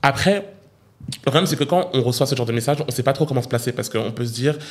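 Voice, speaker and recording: Here a man speaks in a somewhat breathy voice. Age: 20s. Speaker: YouTuber. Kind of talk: casual chat. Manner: animated.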